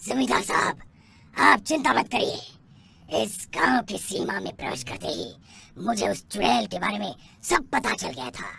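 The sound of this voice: In a cartoonish character voice, a man talks at a moderate pace with a medium pitch and very wide pitch swings.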